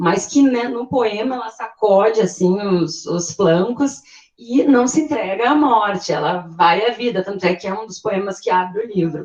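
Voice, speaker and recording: Amid noticeable background noise, a woman speaks at a fairly slow pace and medium pitch with hardly any pauses, lively intonation and big swings in loudness. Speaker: literature discussant. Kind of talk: group discussion. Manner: hesitant, many repetitions.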